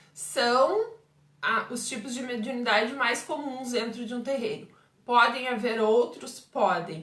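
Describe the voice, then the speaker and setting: In a southern Brazilian accent, a woman with a high voice talks at a fairly slow pace with ordinary pitch variation over noticeable background noise. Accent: gaúcho Brazilian Portuguese. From southern Brazil, Pelotas, Rio Grande do Sul. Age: 40s. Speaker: umbanda medium and teacher. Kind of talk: live stream Q&A talk. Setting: Facebook live stream.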